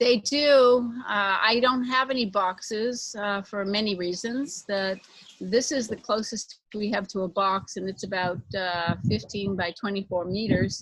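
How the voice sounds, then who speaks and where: With an American accent, a woman speaks in an ordinary speaking voice at a medium pitch, fairly slow, with ordinary pitch variation. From United States. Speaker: corporate consultant and equine body worker. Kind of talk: interview.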